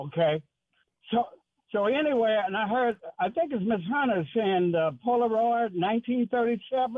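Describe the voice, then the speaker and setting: High-pitched for a man, his voice has lively intonation and very even loudness. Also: moderate pace. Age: 80s+. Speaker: radio caller. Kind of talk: call-in radio discussion.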